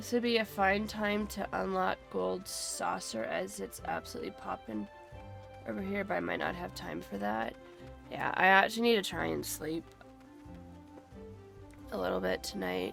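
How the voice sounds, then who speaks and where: Speaking at a moderate pace with long, frequent pauses, a woman talks over music playing in the background. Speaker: gamer streamer. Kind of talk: casual live-stream talk while gaming.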